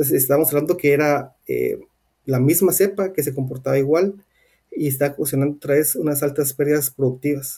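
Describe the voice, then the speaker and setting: Speaking at a fairly quick pace, a man uses a fairly high, somewhat breathy voice with a dark, mellow tone and fairly even intonation. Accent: Guatemalan. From Guatemala. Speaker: swine veterinarian and researcher. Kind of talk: interview.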